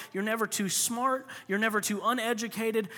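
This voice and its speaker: A man with an American accent speaks in a raised, projected voice at a moderate pace. His pitch is high and his tone bright and sharp. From Florida. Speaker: pastor. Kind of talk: sermon. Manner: animated.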